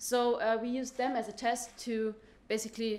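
At a moderate pace, a woman is talking. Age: young. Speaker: physics PhD student; presenter. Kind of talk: conference talk. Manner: hesitant, many fillers. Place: hall.

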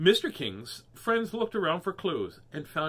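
A passage is read aloud in a natural voice.

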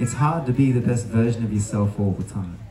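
A man speaks with light background noise in the recording and room echo that can be heard. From Australia. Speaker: spoken word poet. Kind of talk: spoken word poetry performance. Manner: rhythmic, punchy; uplifting. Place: tent. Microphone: handheld.

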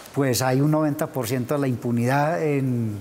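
Over light background noise, a man with a fairly high pitch speaks in a fairly even intonation. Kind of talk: TV interview. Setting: TV studio. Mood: serious, concerned. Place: studio. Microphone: lapel.

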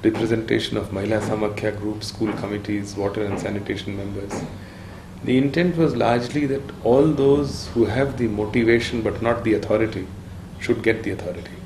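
The speech moves at a fairly quick pace with ordinary pitch variation, with audible room echo and light background noise. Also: man, fairly low pitch for a man. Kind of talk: interview answer. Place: home room.

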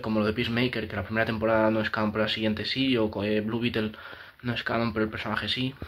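Talking at a very fast pace over light background noise, a man with a Spanish accent keeps a fairly low pitch and fairly even intonation. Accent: Peninsular Spanish. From Spain. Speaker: YouTuber, film commentator; film opinion youtuber. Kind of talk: casual opinion monologue. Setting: home room, new setup after moving. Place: home room.

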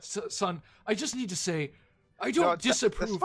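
This man has a high pitch and lively intonation. He talks at a moderate pace. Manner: solemn, awkward.

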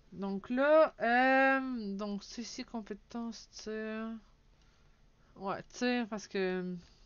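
Someone with a Quebec accent speaks with ordinary pitch variation. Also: woman. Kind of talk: casual let's play commentary.

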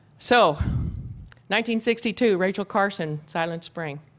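With an American accent, a woman is speaking. Her pitch varies in an ordinary way. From US West (ranch country). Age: 50s. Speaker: goat herder and land restoration expert; conference presenter. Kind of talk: conference talk with slides. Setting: stage with audience. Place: hall.

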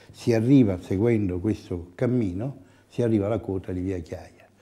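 A man with a dark, mellow tone and a fairly low pitch speaks with ordinary pitch variation. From Italy. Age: 70s. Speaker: architect. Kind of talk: interview. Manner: halting. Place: office. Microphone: lapel.

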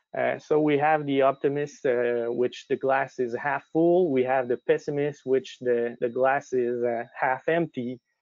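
Against a quiet background, a man speaks at a medium pitch and a fairly slow pace. The sound is dry with no echo, his loudness very even and his intonation fairly even. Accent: Quebec. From Quebec. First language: French. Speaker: lean management consultant. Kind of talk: webinar presentation. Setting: online webinar. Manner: halting, frequent fillers. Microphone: video call.

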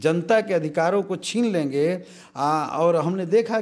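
Against a quiet background, a man talks with a high pitch and ordinary pitch variation. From Bihar, India. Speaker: politician, state legislator; politician. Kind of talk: interview. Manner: animated. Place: office. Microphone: handheld.

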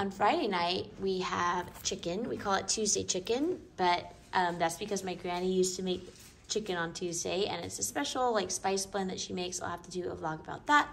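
A woman speaks at a fairly quick pace with vocal fry and ordinary pitch variation. Light background noise is present. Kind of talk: casual vlog chat. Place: home room. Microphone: phone near.

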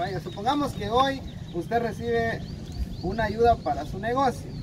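Over noticeable background noise, a man talks at a fairly slow pace. His high voice swings very widely in pitch. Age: 40s. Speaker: charity video host. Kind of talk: casual chat.

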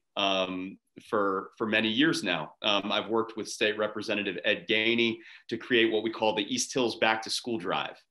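Someone with an American accent speaks at a moderate pace in a bright, sharp tone against a quiet background. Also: man. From Pittsburgh, Pennsylvania. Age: 30s. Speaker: lawyer and judicial candidate; candidate, lawyer. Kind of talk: interview. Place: home room. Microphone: webcam.

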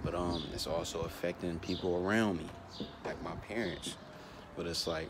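A very deep, low-pitched male voice against noticeable background noise. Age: young. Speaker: vlogger. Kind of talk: casual vlog monologue. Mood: reflective, earnest. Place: street. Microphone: earbuds.

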